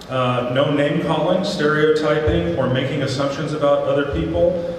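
Strong room echo and light background noise surround a man speaking at a moderate pace and a fairly high pitch with fairly even intonation. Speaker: town hall facilitator. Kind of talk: event moderation. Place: stage.

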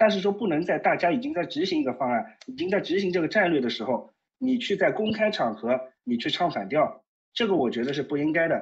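This man's voice is high-pitched with very wide pitch swings. He talks at a fairly quick pace. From Shanghai. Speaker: caller. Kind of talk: casual chat. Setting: phone call. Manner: halting.

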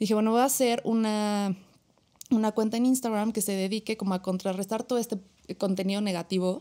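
Fairly quick in pace, the voice carries a dark, mellow tone and fairly even intonation. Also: woman, fairly high pitch for a woman, quiet background. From Mexico. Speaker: psychologist, suicide prevention foundation founder; podcast guest. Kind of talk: podcast interview. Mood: earnest, reflective. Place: studio. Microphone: studio mic.

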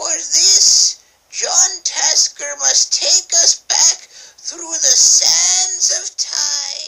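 In a put-on character voice, a woman speaks at a very slow pace. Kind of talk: comedic narration. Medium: role play.

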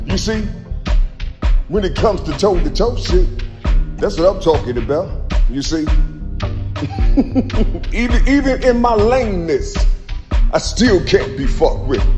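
A man at a moderate pace with long, frequent pauses, clear music in the background. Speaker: self-filming vlogger. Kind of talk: casual spiritual monologue to camera. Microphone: phone near.

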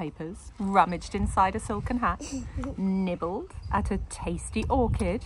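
An unforced reading voice carries lively intonation throughout.

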